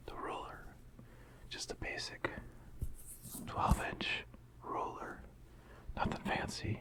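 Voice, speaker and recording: Whispering at a very slow pace with long, frequent pauses over noticeable background noise. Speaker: ASMR creator. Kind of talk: softly spoken ASMR talk to camera. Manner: soft-spoken, casual, conversational.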